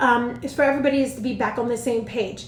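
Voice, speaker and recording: A woman talks at a very fast pace in a high pitch. Audible room echo and noticeable background noise surround her voice. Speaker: education consultant and teacher mentor. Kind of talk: live stream advice talk. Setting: livestream on social media.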